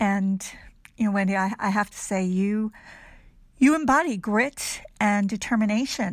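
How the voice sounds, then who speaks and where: A woman speaks at medium pitch in a somewhat breathy voice, slowly and with ordinary pitch variation and long, frequent pauses. The recording is very clean, with a silent background. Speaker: podcast host. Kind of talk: casual interview chat.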